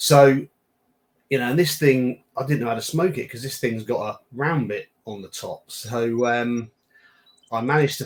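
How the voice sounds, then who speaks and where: At a moderate pace, a man with a British accent talks at a medium pitch. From UK. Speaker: cigar brand founder. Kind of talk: casual chat.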